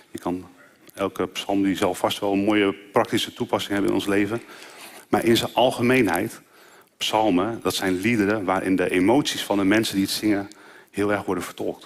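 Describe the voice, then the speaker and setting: A man with a fairly low pitch keeps a moderate pace, his intonation flat and monotone. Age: 30s. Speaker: lay preacher. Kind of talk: sermon.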